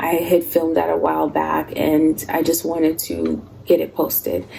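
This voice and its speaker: Soft-spoken, a woman talks at a moderate pace against noticeable background noise. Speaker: lifestyle vlogger. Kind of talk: casual chat. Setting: at home.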